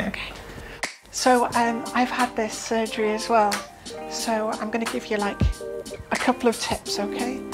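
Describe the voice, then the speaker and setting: Clear music plays behind the voice. A woman speaks at a moderate pace. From England. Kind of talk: casual conversation. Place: home room.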